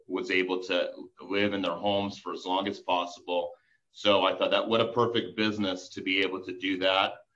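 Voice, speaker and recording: Audible room echo surrounds a man talking at a fairly quick pace and a fairly low pitch. His tone is bright and sharp, and his intonation is monotone and flat. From US, Colorado (born in Belarus). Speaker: business strategist. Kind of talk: interview. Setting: remote call.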